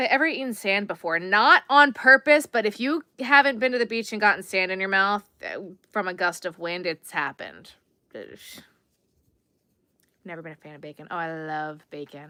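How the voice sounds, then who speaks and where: An American-accented woman speaks at medium pitch and a moderate pace, with a bright, sharp tone. Her voice makes very wide pitch swings and big swings in loudness, on a very clean recording with a silent background. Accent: Long Island accent, comes out when tired. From Long Island, New York. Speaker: crochet livestreamer. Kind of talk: casual livestream chat while crocheting. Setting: live stream. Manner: chatty, reads out viewer comments.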